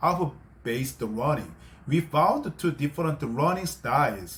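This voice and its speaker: In a Korean accent, the voice moves at a moderate pace with very wide pitch swings. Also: man. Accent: non-native English, Korean. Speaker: English-learning YouTuber. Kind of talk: tutorial. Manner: halting, with self-corrections.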